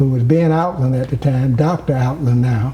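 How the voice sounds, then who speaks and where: Over noticeable background noise, a man's moderately paced speech shows ordinary pitch variation. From US South, rural Georgia. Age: 70s. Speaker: former mayor. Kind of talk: interview. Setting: at home.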